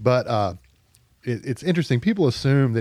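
Speaking at a fairly quick pace in a Southern US accent, the man has a dark, mellow tone. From Arkansas, Pine Bluff. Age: 40s. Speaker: writer for a political publication. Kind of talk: casual chat. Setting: studio.

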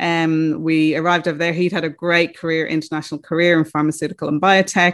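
Against a quiet background, a woman with an Irish accent speaks at a very fast pace with hardly any pauses, in a fairly low, monotone, flat voice. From Ireland. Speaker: recruitment business founder. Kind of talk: interview.

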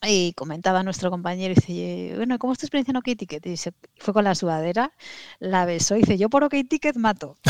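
Woman's medium-pitched voice with very wide pitch swings, dry and close with no echo. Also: quiet background. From Asturias, Spain. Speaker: startup manager. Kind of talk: interview.

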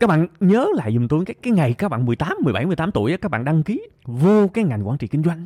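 Dry and close with no echo, a man's high voice comes at a fairly quick pace. His pitch swings very widely. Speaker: podcast host. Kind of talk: monologue podcast episode, advice talk. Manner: conversational, earnest, motivational.

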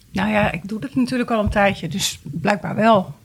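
Here is a woman with a normal speaking voice, a medium pitch, ordinary pitch variation and a moderate pace. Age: 50s. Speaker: guest with a personal problem. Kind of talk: casual chat.

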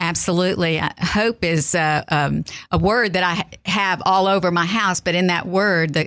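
On a very clean recording with a silent background, a woman with a Texan accent speaks at a moderate pace and a fairly low pitch. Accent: Texan Southern US. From South Texas. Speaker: author and speaker. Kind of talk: faith interview.

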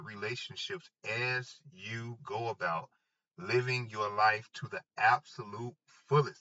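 Ordinary pitch variation runs through this man's speech. His voice rests at a medium pitch. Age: 30s. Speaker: podcast host. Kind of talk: motivational monologue. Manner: animated.

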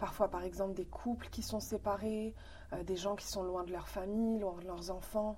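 Her voice has a dark, mellow tone at a medium pitch, and this woman keeps a monotone, flat intonation at a moderate pace. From Morocco, then Quebec from age 13. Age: 30s. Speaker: philosophy school volunteer. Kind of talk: interview.

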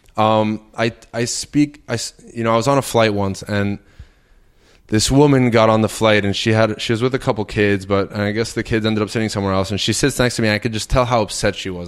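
A man talks very fast at a fairly low pitch, with fairly even intonation. Noticeable background noise runs underneath. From Puerto Rico. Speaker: medical doctor and barefoot health advocate. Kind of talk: casual chat. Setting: in person at his home.

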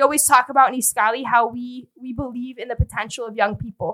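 With a Chicago accent, a woman talks fairly quickly in a high voice with ordinary pitch variation. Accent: Chicago American English. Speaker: nonprofit fundraising director. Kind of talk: podcast conversation.

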